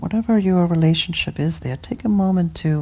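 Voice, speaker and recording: A woman's somewhat breathy voice, dark and mellow in tone, with ordinary pitch variation. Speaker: meditation teacher. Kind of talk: guided meditation. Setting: retreat hall with group. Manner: slow, soothing, gentle; playful, warm.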